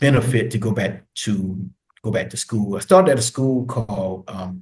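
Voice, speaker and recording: A somewhat breathy man's voice with an American accent, fairly low in pitch, at a moderate pace. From US. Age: 50s. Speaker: retired military veteran and social work graduate. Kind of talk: casual interview.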